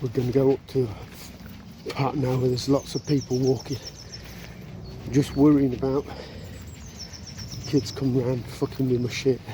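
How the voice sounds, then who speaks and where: Quiet and monotone, this voice with a West Midlands accent moves at a moderate pace with flat intonation over noticeable background noise. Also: man. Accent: English Midlands (Coventry). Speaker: outdoor vlogger. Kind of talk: casual vlog narration. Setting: outdoors. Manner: talking quietly.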